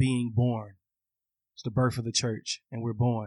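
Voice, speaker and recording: Against a quiet background, a man speaks with an American accent at medium pitch. His intonation is monotone and flat, and the sound is dry and close with no echo. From Atlanta, US South. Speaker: minister. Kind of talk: casual interview.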